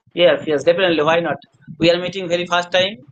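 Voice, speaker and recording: A man's high voice in a Bengali accent at a very fast pace. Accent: Indian English, Bengali. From India, West Bengal. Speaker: hospital attendant, English learner. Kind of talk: casual chat.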